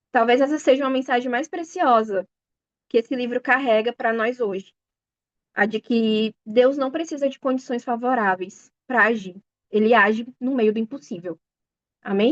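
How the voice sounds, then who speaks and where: A woman's high voice, dry and close with no echo, at a moderate pace with ordinary pitch variation and long, frequent pauses. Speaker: bible study teacher. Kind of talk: sermon. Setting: video call.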